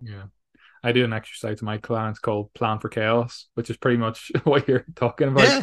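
Against a quiet background, a man with an ordinary speaking voice talks at a medium pitch and moderate pace with fairly even intonation. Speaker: podcast host. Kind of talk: interview chat.

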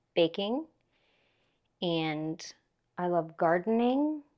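In an Upper Midwest accent, a woman speaks at a very slow pace with a fairly low pitch. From Minnesota. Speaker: podcast host. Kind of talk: casual chat. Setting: home, over tea.

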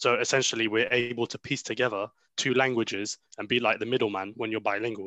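In a British accent, a man at medium pitch talks very fast with monotone, flat intonation and a bright, sharp tone, the sound dry and close with no echo over a quiet background. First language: Arabic. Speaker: podcast co-host. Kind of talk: casual chat.

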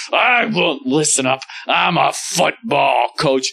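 A man puts on a character voice with a fairly high pitch. He goes at a fairly slow pace. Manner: gruff, angry.

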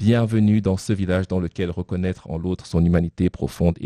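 Recorded dry and close with no echo, a man's very deep, low voice has a dark, mellow tone and fairly even intonation. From Cameroon. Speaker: poet. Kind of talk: reading aloud. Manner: halting.

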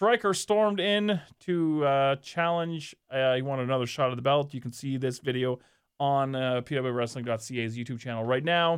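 Medium-pitched male voice at a moderate speed, an ordinary speaking voice with normal pitch movement. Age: 40s. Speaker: wrestling podcast co-host. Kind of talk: casual chat.

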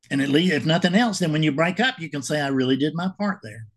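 Somewhat breathy, a man talks at a fairly quick pace with a fairly high pitch and lively intonation. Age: 70s. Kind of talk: casual monologue to camera. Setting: home video recording. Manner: halting.

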